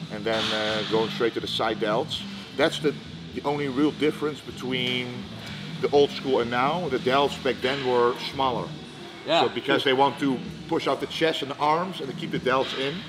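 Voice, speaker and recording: A man is speaking with ordinary pitch variation. Music can be heard in the background. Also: moderate pace. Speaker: guest. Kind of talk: interview answer. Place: gym.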